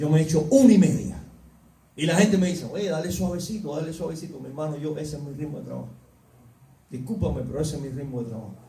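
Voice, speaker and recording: A man talks very fast at a fairly high pitch, with big swings in loudness and long, frequent pauses. There is noticeable background noise and audible room echo. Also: ordinary pitch variation. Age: 60s. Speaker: preacher. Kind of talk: sermon. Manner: animated.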